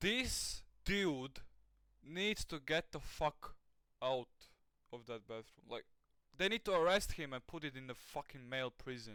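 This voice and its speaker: A man with a Latvian accent speaks at a fairly high pitch in a bright, sharp, animated tone with very wide pitch swings. His pace is fairly slow, with long, frequent pauses. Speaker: reaction streamer. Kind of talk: live reaction commentary.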